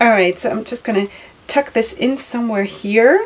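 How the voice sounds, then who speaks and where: A woman talks with a non-native accent over noticeable background noise. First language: not English. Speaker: headscarf tutorial vlogger. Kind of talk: tutorial. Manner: animated; casual, hesitant with fillers.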